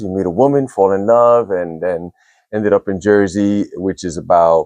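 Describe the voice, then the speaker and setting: Recorded dry and close with no echo and a quiet background, a man with an American accent speaks at a moderate pace in a fairly low pitch. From Brooklyn, New York. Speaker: breathwork and cold plunge practitioner. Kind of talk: interview conversation. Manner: casual, with many fillers.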